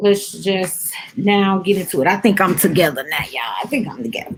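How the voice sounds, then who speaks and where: A woman speaks with a slight Southern US accent. Her pace is moderate. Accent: a little country. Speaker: vlogger / lifestyle talk host. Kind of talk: casual chat.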